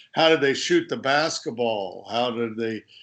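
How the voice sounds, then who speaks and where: Against a quiet background, a speaker with an American accent talks with lively intonation. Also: man. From USA. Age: 60s. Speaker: author and sports journalist. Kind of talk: interview.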